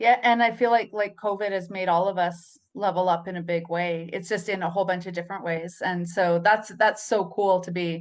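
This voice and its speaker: A woman speaks in an ordinary speaking voice with a medium pitch. Her intonation is fairly even, and she takes hardly any pauses. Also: fairly quick pace. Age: 40s. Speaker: podcast host. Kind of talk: interview.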